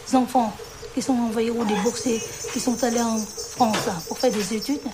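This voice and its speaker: Over noticeable background noise and audible room echo, a woman speaks fairly slowly at a fairly high pitch with fairly even intonation. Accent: Vietnamese. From Vietnam. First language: Vietnamese (speaking French). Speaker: immigrant interviewee. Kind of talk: testimony.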